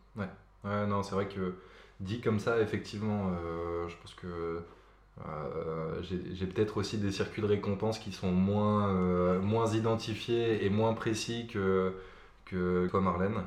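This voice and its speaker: A man talks at a very slow pace in a fairly low pitch, his intonation fairly even. Audible room echo and noticeable background noise fill the recording. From Paris suburbs, France (Nanterre). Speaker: podcast guest. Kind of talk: casual chat about depression. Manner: halting, many repetitions and fillers.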